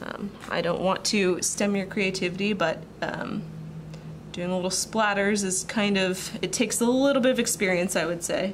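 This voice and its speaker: Against noticeable background noise, a woman speaks at medium pitch and a moderate pace with fairly even intonation. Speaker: watercolor artist. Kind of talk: art tutorial voice-over. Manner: casual, chatty.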